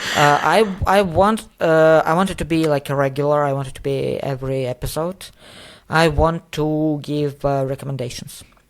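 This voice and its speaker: In a non-native accent, the speaker is heard on a very clean recording with a silent background. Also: moderate pace. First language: not English. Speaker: podcast co-host. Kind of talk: casual podcast conversation. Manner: halting, many fillers.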